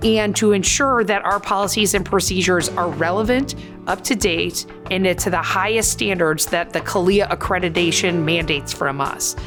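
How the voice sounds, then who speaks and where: Over background music, the voice holds a very even loudness at a moderate pace with ordinary pitch variation. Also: woman, medium pitch for a woman. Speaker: chief inspector at a police department. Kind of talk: interview answer.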